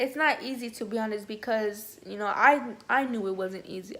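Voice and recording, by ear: Room echo is audible as a woman speaks at a moderate pace. Her pitch is medium and her tone fairly bright.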